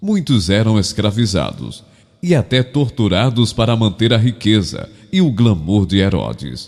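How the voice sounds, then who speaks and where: Lively intonation and very even loudness mark an unremarkable speaking voice. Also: man, fairly low pitch for a man, fairly slow pace. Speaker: professional voice-over narrator. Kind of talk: documentary-style narration.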